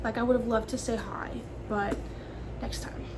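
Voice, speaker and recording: Audible room echo and noticeable background noise surround the recording. A woman talks at a moderate pace. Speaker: fashion student vlogger. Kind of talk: casual vlog talk to camera. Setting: indoors in a school business building. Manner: filler-heavy casual speech.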